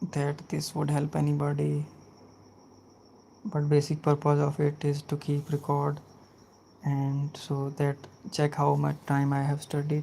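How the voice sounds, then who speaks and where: The speaker has a non-native accent and talks at a fairly slow pace with long, frequent pauses. The recording is very clean, with a silent background. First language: not English. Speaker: health and safety student. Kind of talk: casual chat; lecture. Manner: halting.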